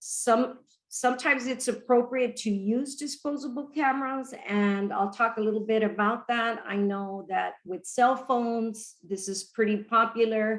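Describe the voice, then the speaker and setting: A woman with a normal speaking voice has a fairly high pitch and fairly even intonation. She talks at a fairly slow pace with hardly any pauses. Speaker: education researcher presenting. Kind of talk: webinar presentation.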